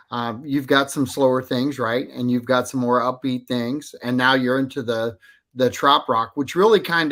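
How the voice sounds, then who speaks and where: Over a very clean recording with a silent background, a man speaks at a medium pitch in a bright, sharp tone. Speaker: radio host. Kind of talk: radio interview. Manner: hesitant, conversational.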